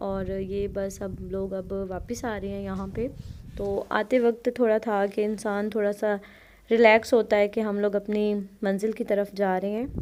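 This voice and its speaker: Her medium-pitched voice has monotone, flat intonation. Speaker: travel vlogger. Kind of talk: travel vlog narration. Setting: outdoors on a chairlift.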